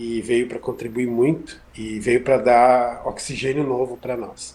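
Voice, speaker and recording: A man speaks very slowly with a strong gaúcho accent. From southern Brazil, Rio Grande do Sul. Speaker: physics professor. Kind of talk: interview. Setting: video call from home kitchen.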